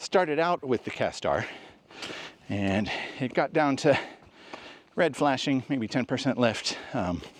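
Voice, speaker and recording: A man's medium-pitched voice with lively intonation at a fairly slow pace, long, frequent pauses, and noticeable background noise. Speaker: photography YouTuber. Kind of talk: casual vlog talk. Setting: outdoors, walking in a national park. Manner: casual, with fillers.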